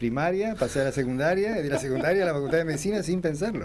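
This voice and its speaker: A man talks with lively intonation. Audible room echo surrounds his voice. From Argentina, Corrientes. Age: 60s. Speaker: oncological surgeon and professor. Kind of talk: radio interview.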